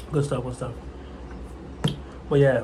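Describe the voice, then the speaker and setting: Audible room echo and noticeable background noise surround a man speaking in a fairly high pitch. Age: 20s. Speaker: vlogger learning trading. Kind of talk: casual vlog monologue. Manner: halting, repetitive.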